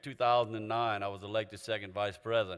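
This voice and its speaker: A man's medium-pitched voice with a Louisiana accent. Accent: Louisiana Southern US. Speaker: association president. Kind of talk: conference opening speech. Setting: convention stage with audience.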